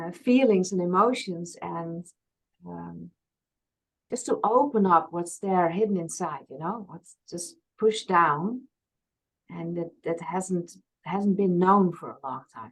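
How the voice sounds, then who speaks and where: A woman's fairly low voice in a Frisian accent, very slow in pace, with big swings in loudness, ordinary pitch variation and long, frequent pauses. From Friesland, Netherlands. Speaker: past life regression therapist. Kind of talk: interview conversation.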